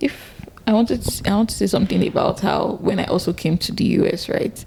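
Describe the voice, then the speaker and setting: A woman with a Nigerian accent talks at a very fast pace, her loudness very even. Noticeable background noise runs underneath. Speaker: podcast co-host. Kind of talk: casual chat.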